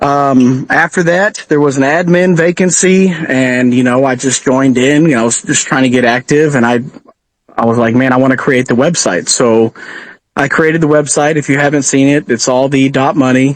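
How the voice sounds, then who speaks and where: This man talks in a slight Texan accent with fairly high pitch and ordinary pitch variation. His pace is moderate, and his loudness stays very even. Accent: Texan twang, slight. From Texas. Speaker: truck driver and crypto community admin. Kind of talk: podcast interview. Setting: live audio chat space. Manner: hesitant, many fillers.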